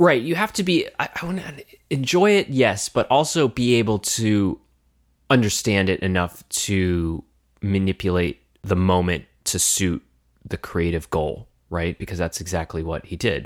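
A man's unremarkable speaking voice, fairly low in pitch, with an American accent, lively intonation and a fairly slow pace, in a very clean recording with a silent background and a dry, close sound with no echo. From United States. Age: 30s. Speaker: musician and podcast co-host. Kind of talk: casual chat.

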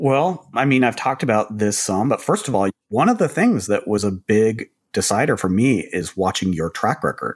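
Using a normal speaking voice at a medium pitch, a man talks at a moderate pace with lively intonation and hardly any pauses. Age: 50s. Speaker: startup executive and co-host. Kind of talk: casual business conversation.

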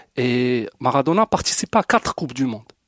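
Here a man talks in an unremarkable speaking voice with lively intonation at a moderate pace. The recording is very clean with a silent background, dry and close with no echo. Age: 40s. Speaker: football fan. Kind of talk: casual debate.

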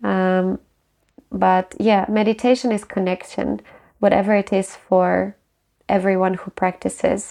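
Against a quiet background, a woman with a Ukrainian accent speaks at a moderate pace and medium pitch in a dark, mellow tone. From Ukraine. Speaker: meditation guide and life coach. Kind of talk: interview.

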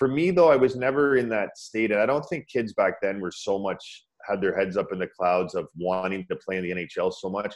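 A man with a Canadian accent has a plain, everyday voice. His pitch is fairly low and his pace is moderate. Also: lively intonation. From Ontario, Canada (Scarborough/Pickering, Toronto area). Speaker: former pro ice hockey player, meditation teacher. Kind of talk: interview, personal story.

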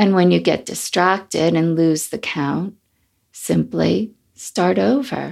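A woman at a very slow pace on a very clean recording with a silent background. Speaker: meditation teacher. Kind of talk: guided meditation. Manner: calm, gentle, unhurried; soft, slow, soothing.

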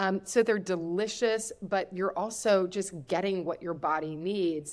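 This woman has a plain, everyday voice in an American accent. Her pitch sits fairly low and varies in an ordinary way. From US Midwest (Kentucky roots). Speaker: cookbook author and food entrepreneur. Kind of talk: interview podcast.

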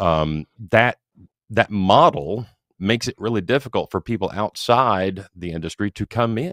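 An ordinary speaking voice moves at a moderate pace with lively intonation, the sound dry and close with no echo. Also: man, fairly low pitch for a man. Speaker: podcast host interviewer. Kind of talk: casual interview.

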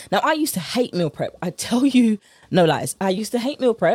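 A woman with a British accent speaks at a very fast pace, her pitch swinging very widely. Her tone is upbeat yet dark and mellow. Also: dry, close sound with no echo. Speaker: podcast host, nutrition coach. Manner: fast talker; upbeat, chatty, informal.

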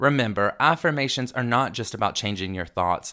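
On a very clean recording with a silent background, the voice sounds animated, bright and sharp, moving at a moderate pace with lively intonation. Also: man. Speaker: podcast host. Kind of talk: motivational self-help talk. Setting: studio. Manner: loud.

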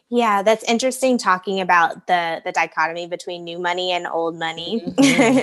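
Fairly quick speech with an American accent, ordinary pitch variation, and noticeable background noise. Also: woman, medium pitch for a woman, hardly any pauses. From US Midwest and South. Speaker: podcast host and brand strategist. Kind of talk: podcast interview. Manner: upbeat.

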